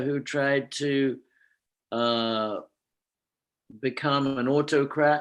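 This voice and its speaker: The man's voice sits fairly high in pitch. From England, London. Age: 70s. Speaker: spiritual teacher. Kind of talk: lecture. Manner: halting.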